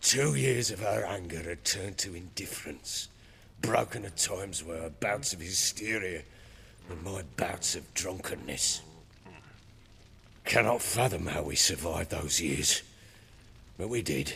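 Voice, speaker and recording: Over clear background noise, a man uses a raspy, very deep, low put-on character voice with lively intonation and big swings in loudness, talking at a moderate pace with long, frequent pauses. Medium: video game. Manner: coarse, blunt, defensive.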